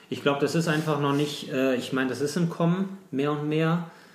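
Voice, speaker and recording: A man is speaking. Audible room echo hangs on the sound. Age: 40s. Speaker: bicycle courier and ultra-distance cyclist. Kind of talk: interview. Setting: at home.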